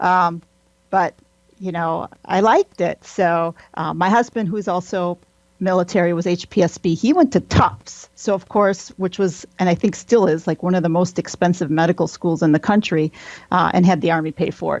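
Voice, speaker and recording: Recorded with a dry, close sound and no echo, a woman with a Wisconsin accent talks at a moderate pace, her pitch fairly low, with ordinary pitch variation. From Wisconsin, near Green Bay. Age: 40s. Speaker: military pathologist. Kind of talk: interview.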